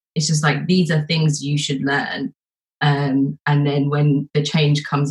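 A woman with a very deep, low, somewhat breathy voice speaks at a moderate pace in a monotone, flat way. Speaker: support leader panelist. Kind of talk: panel discussion.

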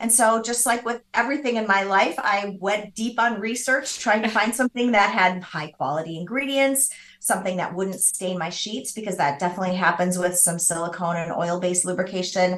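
With an American accent, a woman talks at a fairly quick clip with hardly any pauses, her medium-pitched voice showing ordinary pitch variation over noticeable background noise. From US Midwest. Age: 50s. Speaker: business founder. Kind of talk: interview.

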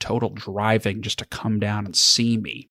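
An ordinary speaking voice from a man, medium in pitch and moderate in pace, on a very clean recording with a silent background. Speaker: estate planning attorney with a podcast. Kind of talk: casual interview chat.

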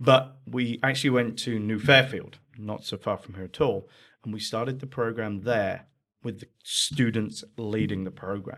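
With an English accent, a man speaks at a moderate pace using fairly even intonation and big swings in loudness. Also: medium pitch for a man. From England. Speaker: charity founder. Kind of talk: casual interview.

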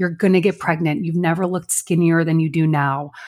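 A woman with a Chicago accent speaks in a fairly low pitch. The recording is very clean, with a silent background. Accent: Midwest American (Chicago area). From Chicago suburbs, US Midwest. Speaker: podcast co-host and business owner. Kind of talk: casual chat.

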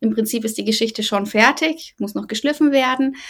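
A woman speaks with a fairly high pitch. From Bavaria, Germany. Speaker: novelist. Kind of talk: interview.

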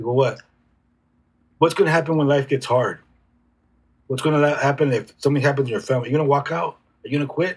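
Speaking at a very fast pace with long, frequent pauses, a man with an American accent has a fairly high pitch, ordinary pitch variation and a somewhat breathy sound. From San Diego, California. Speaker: youth mentor and coach. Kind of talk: casual interview conversation. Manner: occasionally stutters.

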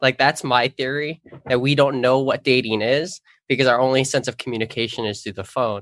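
This is an ordinary speaking voice from a man, medium in pitch and fairly even in intonation, moving at a fairly quick pace. The recording is very clean with a silent background and a dry, close sound with no echo. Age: 20s. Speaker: youth ministry coordinator. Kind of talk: casual chat.

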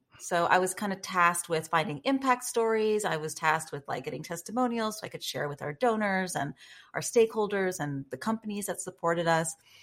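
A woman talks in a normal speaking voice at medium pitch, moving at a fairly quick pace with lively intonation. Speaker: guest, personal brand and storytelling coach. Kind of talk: podcast interview.

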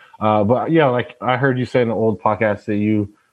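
He has a normal speaking voice, a man with an American accent talking at a moderate pace and a fairly low pitch. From Tacoma, Washington. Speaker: former college football player, entrepreneur. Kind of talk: personal testimony.

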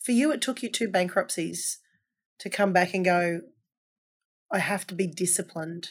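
A woman speaks at a moderate pace with ordinary pitch variation and a medium pitch. The recording is very clean, with a silent background. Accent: Australian. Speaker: podcast host. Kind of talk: interview chat.

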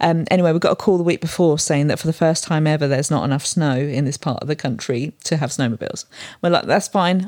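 Very deep and low in pitch, a woman speaks at a very fast pace in a British accent with ordinary pitch variation. The sound is dry and close, with no echo. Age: 40s. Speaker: photographer. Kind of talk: casual chat.

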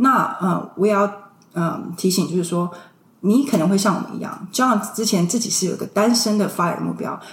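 Noticeable background noise sits behind the voice. The pace is moderate and the pitch variation ordinary. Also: woman, medium pitch for a woman. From Taiwan (Tainan), moved to US at 16. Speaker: early retiree sharing personal finance experience. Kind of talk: casual interview.

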